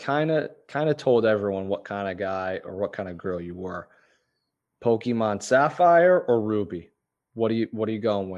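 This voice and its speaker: Over a quiet background, a man with a fairly low pitch talks at a moderate pace with lively intonation. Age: 20s. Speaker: podcast host. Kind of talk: casual interview chat; scripted intro narration. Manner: animated.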